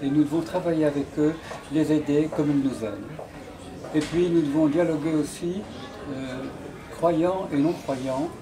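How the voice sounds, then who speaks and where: Delivered at a fairly slow pace with fairly even intonation, the speech has long, frequent pauses, audible room echo and noticeable background noise. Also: man, fairly high pitch for a man. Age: 80s+. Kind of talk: speech at a dinner. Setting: dinner gathering.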